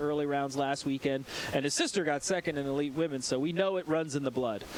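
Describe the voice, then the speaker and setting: A man speaks at a very fast pace. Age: 40s. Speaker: BMX race commentator. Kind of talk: live commentary. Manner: fast, animated.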